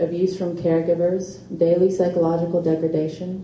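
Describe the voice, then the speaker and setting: A woman speaks at a moderate pace in a fairly low voice, with light background noise and audible room echo. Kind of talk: reading aloud from her book. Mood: earnest, emotional personal testimony. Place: shop. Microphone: podium.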